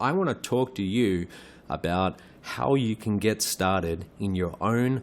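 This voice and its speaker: His pitch sits fairly low. The man talks with an Australian accent. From Australia, Perth. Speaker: online business trainer. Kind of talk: webinar presentation. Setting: live webinar.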